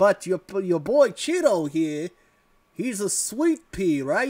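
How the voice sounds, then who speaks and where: A man speaks in a put-on character voice, high-pitched and squeaky, at a fairly slow pace. The recording is very clean, with a silent background. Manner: friendly, smooth-talking.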